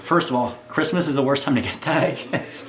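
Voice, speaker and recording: A man's words come at a very fast pace with ordinary pitch variation as noticeable background noise carries on. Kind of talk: casual talk to camera.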